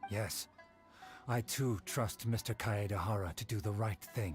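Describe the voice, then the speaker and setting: A put-on character voice with low pitch speaks at a moderate pace. Clear music plays in the background. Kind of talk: courtly formal speech. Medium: video game. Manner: formal, measured.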